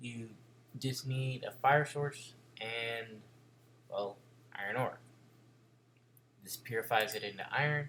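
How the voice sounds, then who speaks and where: This man's voice sits at a medium pitch, bright and sharp in tone, with fairly even intonation. He talks very slowly, leaving long, frequent pauses. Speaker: gaming video creator. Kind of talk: gameplay commentary. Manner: casual, chatty.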